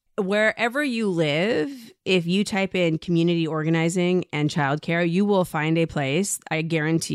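Speaking in a normal speaking voice, a woman uses a fairly low pitch and lively intonation in a very clean recording with a silent background. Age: 40s. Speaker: journalist and podcast host. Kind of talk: interview conversation.

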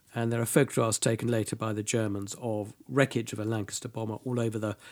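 On a very clean recording with a silent background, a man with a British accent speaks at a medium pitch. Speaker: military history tour guide and speaker. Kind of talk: informal historical talk in interview. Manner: fluent, hesitant with fillers.

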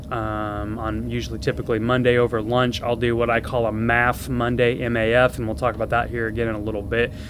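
Amid noticeable background noise, a man speaks at medium pitch in a flat monotone. He goes at a fairly quick pace with hardly any pauses. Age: 40s. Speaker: surgeon and fitness podcast host. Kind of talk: solo educational podcast. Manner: casual with many filler words.

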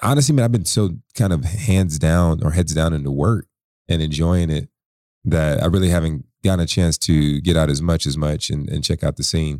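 A man with an American accent speaks at a fairly quick pace in a very deep, low pitch with ordinary pitch variation. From US South, military family. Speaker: startup founder. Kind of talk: interview. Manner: animated.

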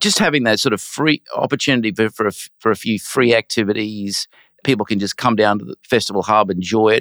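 A man with an Australian accent speaks at a medium pitch. The recording is very clean, dry and close, with no echo and a silent background. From Brisbane, Australia. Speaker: finance executive and arts donor. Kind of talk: interview.

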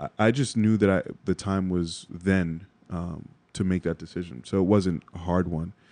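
A man speaks in a very deep, low, dark and mellow voice with a New York accent and ordinary pitch variation. His pace is moderate against a quiet background. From New York (Bronx). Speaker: creative director and podcaster, former finance worker. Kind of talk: interview.

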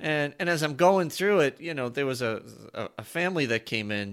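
A man talks at a moderate pace in a normal speaking voice. His intonation is lively. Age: 50s. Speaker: podcast co-host. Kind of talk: casual chat.

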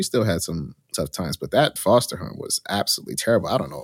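In a plain, everyday voice, a man with a fairly low pitch talks at a fairly quick pace with lively intonation, the sound dry and close with no echo in a very clean recording with a silent background. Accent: American. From New Jersey, Union County. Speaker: hotel management consultant. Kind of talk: interview.

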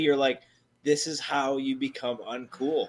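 A man with an ordinary speaking voice talks at a fairly slow pace. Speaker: podcast co-host.

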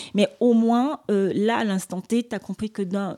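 Dry and close with no echo, a woman's dark, mellow tone comes at a moderate pace with fairly even intonation. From Cameroon. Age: 40s. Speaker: beauty store entrepreneur. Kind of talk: casual interview. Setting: hotel suite.

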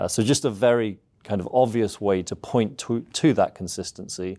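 A man speaks in an English accent at a medium pitch with a dark, mellow tone. His pitch variation is ordinary, and the recording is very clean with a silent background. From southeast England. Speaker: seminary professor. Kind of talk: interview.

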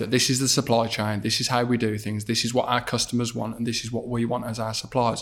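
A man with a Birmingham accent speaks at medium pitch in a flat monotone. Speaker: podcast host. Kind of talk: casual interview.

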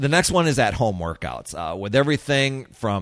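Heard on a very clean recording with a silent background, a man uses a normal speaking voice at medium pitch. He goes at a fairly slow pace with lively intonation. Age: 50s. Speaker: fitness podcast host. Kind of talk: solo podcast monologue. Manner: casual, with frequent fillers and repetitions.

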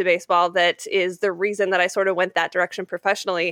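A woman's medium-pitched voice in an American accent at a very fast pace, dry and close with no echo against a quiet background. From Utah, Salt Lake City. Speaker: sports broadcaster and podcaster. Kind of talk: casual interview.

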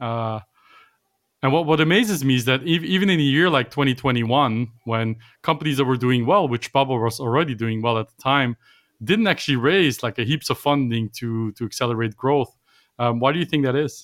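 A man speaks at a moderate pace in a Dutch accent. His pitch is medium, with ordinary variation. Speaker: tech podcast host. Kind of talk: interview. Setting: remote call.

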